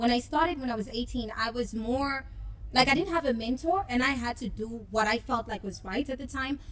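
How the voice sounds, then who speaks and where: Speaking with a South African accent, a woman talks at a fairly quick pace with a high pitch and ordinary pitch variation. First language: isiZulu. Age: 20s. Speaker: rapper. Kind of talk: interview. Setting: club.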